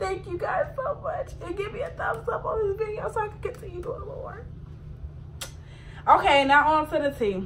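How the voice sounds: With lively intonation, a woman talks at a moderate pace in an extremely high pitch.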